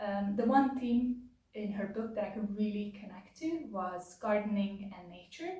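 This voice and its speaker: A woman's fairly slow, medium-pitched voice with a non-native accent, ordinary pitch variation, big swings in loudness and audible room echo. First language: not English. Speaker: book reviewer / video essayist. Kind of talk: casual spoken book review. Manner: hesitant, many filler words.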